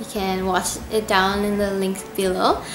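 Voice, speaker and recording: A woman with a medium-pitched voice speaks over noticeable background noise, with audible echo in the room. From Indonesia. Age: 20s. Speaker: YouTube cover singer. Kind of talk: casual Q&A vlog.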